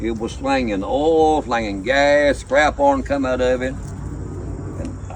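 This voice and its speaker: Against noticeable background noise, a man talks fairly slowly. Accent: American. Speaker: welder. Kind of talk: storytelling. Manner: slow, unhurried.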